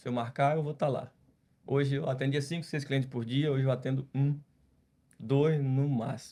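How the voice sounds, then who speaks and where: At a moderate pace, a man talks in a flat monotone at medium pitch, his tone dark and mellow and somewhat breathy. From Brazil, Ceará (Northeast). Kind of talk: podcast interview testimony.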